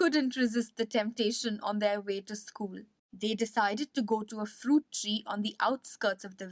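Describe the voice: Nothing disturbs the quiet background. The passage is read aloud plainly.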